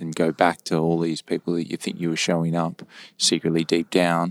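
Recorded very cleanly against a silent background, dry and close with no echo, a man speaks at a moderate pace in a very deep, low voice with monotone, flat intonation. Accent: Australian. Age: 30s. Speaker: podcast co-host. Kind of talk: casual chat.

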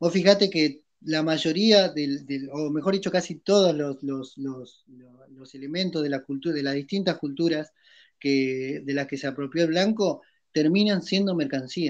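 Using a normal speaking voice, a man talks at a fairly slow pace with a fairly high pitch and ordinary pitch variation. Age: 30s. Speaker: podcast co-host. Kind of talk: casual discussion.

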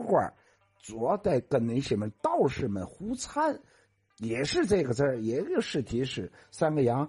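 The speaker has a Tianjin accent. The pace is fairly slow. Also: man. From Tianjin, China. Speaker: local dialect and culture commentator. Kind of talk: explanatory talk on dialect words.

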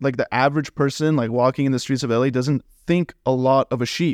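An ordinary speaking voice with an American accent moves at a fairly quick pace. The sound is dry and close with no echo. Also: man. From Los Angeles. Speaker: veterinary student. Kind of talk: casual chat.

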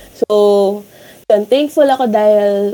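Her tone dark and mellow, a woman speaks in a medium pitch with lively intonation. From Philippines. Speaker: student radio host. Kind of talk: casual chat. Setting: remote call from home. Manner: energetic.

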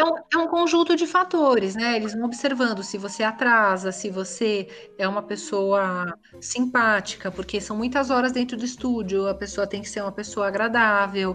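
A plain, everyday voice moves at a moderate pace. The intonation is lively. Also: woman, fairly high pitch for a woman. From São Paulo, Brazil. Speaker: voice actress. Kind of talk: interview.

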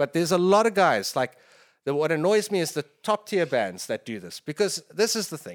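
In a very clean recording with a silent background, a man speaks at a high pitch and a fairly quick pace. His intonation is lively and his loudness swings widely. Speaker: metal musician. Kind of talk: casual chat.

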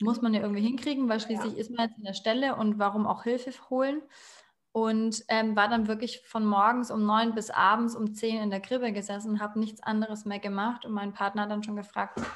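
A woman speaks at a fairly quick pace with a fairly high pitch. Her voice is somewhat breathy, with monotone, flat intonation. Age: 30s. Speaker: educator and aspiring animal psychologist. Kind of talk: casual interview.

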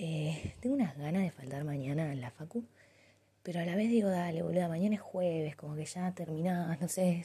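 The voice is dark and mellow in tone, somewhat breathy, with ordinary pitch variation. It moves at a moderate pace. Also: woman. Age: 20s. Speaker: university student. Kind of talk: audio diary.

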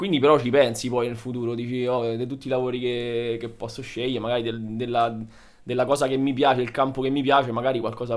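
With a monotone, flat intonation, a man of medium pitch talks at a very fast pace. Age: 30s. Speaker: dentist. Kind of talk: casual chat.

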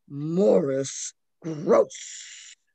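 A raspy, put-on character voice from a man, fairly high in pitch. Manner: scary, demonic.

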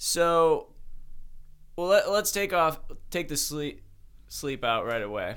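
In a Midwestern American accent, a man speaks at a very slow pace with long, frequent pauses. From US Midwest (Ohio, Cleveland east suburbs). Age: 20s. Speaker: podcast co-host, studio co-founder. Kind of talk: casual chat. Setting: studio.

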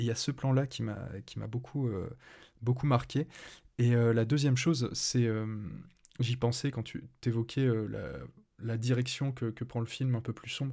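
This man has a dark, mellow tone at a medium pitch, speaking at a fairly slow pace in a monotone, flat way with long, frequent pauses. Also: very clean recording, silent background. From France. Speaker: podcast host. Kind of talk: casual chat. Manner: halting.

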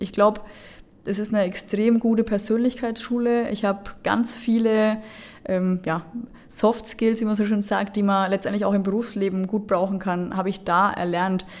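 An unremarkable speaking voice from a woman, medium in pitch, moderate in pace, and fairly even in intonation. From Lower Franconia, Bavaria. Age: 20s. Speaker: football referee. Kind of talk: interview.

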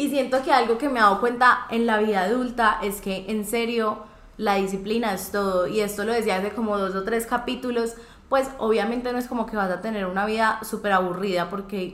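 A woman's fairly high voice at a fairly quick pace, with fairly even intonation, audible room echo and noticeable background noise. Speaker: podcast host. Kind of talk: casual chat.

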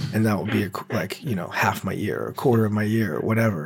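A man's fairly low voice, roughened by vocal fry. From New Orleans, Louisiana. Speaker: film director. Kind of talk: casual chat.

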